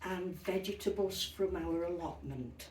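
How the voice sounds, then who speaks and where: A woman at a medium pitch with ordinary pitch variation, speaking very slowly amid audible room echo and noticeable background noise. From Yorkshire, northern England. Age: 80s+. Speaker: retired interviewee recalling childhood. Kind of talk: interview, personal recollection.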